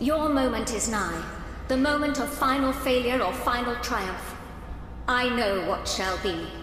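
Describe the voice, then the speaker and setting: A female-sounding, put-on character voice speaks high and fairly slowly. Clear background noise and a strong echo surround it. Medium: machinima. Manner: stately, archaic.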